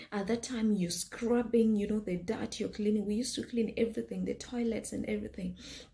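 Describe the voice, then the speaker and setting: A woman speaks in a dark, mellow tone that is somewhat breathy. Her intonation is fairly even. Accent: Kenyan. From Kenya. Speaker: health scientist and business owner. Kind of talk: personal storytelling vlog. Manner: hesitant, many fillers.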